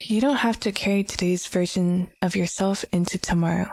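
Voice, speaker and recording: The voice is soft-spoken and somewhat breathy, moving at a moderate pace. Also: woman, very clean recording, silent background. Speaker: vtuber. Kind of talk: comfort ASMR roleplay.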